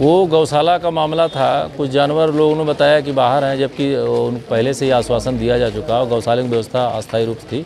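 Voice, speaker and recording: With clear music in the background, a man talks at a moderate pace with hardly any pauses and fairly even intonation. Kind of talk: interview answer. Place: street.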